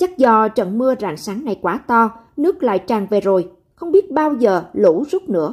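A woman speaks at a fairly slow pace with very wide pitch swings. The recording is very clean, with a silent background. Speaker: news presenter. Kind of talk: news reading. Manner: formal.

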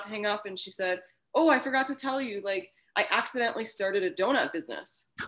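A woman talks at a fairly quick pace with a bright, sharp tone. Behind her, the background is quiet. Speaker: guest. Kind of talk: interview answer. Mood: upbeat, laughing. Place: home room. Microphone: video call.

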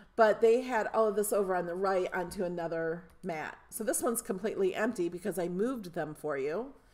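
In a put-on character voice, a woman talks at a fairly quick pace with hardly any pauses, sounding raspy at medium pitch with ordinary pitch variation. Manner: talking fast.

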